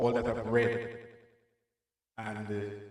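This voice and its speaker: Audible room echo surrounds a man speaking at a fairly slow pace. His pitch is fairly low. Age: 60s. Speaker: minister. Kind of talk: testimony. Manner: halting.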